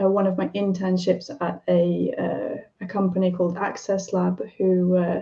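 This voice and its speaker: Fairly slow, a woman talks at a medium pitch. Her intonation stays fairly even. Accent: British. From UK. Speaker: software developer and accessibility specialist. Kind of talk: live stream panel discussion. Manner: halting, many fillers.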